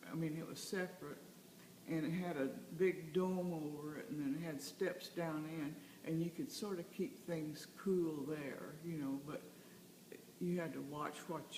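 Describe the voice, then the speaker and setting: A woman speaks at a fairly low pitch and a fairly slow pace, with ordinary pitch variation. Noticeable background noise runs under her voice. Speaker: grandmother telling childhood story. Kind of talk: interview answer. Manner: conversational, hesitant with fillers.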